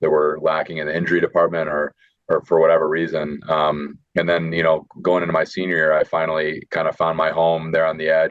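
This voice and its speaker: A man with a Midwestern American accent at a fairly quick pace. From northern Illinois. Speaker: football draft prospect. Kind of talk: interview. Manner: hesitant with fillers.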